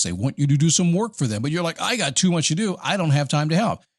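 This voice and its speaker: Against a quiet background, a man with a fairly high pitch and a somewhat breathy voice talks at a very fast pace with lively intonation. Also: dry, close sound with no echo. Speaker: podcast host; voiceover and spokesperson performer. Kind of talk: motivational podcast talk. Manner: casual, conversational.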